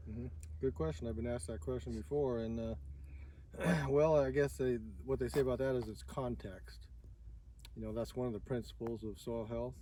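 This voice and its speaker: A man with a very deep, low pitch and a dark, mellow tone speaks at a fairly quick pace in an American accent, his voice somewhat breathy, with very wide pitch swings, long, frequent pauses and audible room echo. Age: 60s. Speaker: farmer. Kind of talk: interview. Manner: halting.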